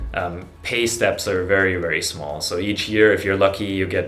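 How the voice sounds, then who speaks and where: A man speaks with a German accent. Music plays in the background, and the room echo is audible. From Germany. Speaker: YouTuber on personal finance. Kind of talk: casual vlog monologue. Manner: halting, many fillers.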